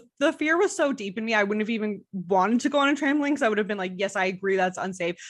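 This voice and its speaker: Talking very fast with hardly any pauses, a woman with an American accent uses a fairly high pitch with very wide pitch swings. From Montreal, Quebec. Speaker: guest. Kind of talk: casual chat.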